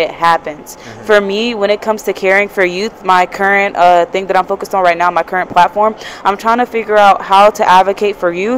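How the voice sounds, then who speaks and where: Over light background noise, a woman talks in an animated tone at a fairly quick pace. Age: young. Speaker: youth advocate. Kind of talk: casual chat. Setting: live at a conference. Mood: earnest, reflective. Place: hall. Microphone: handheld.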